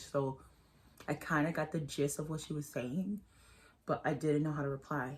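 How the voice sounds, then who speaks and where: This woman has a very deep, low pitch and a somewhat breathy voice. She talks at a moderate pace. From Bronx, New York (Puerto Rican family). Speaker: beauty vlogger. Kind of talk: casual chat while doing makeup. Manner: casual, rambling asides.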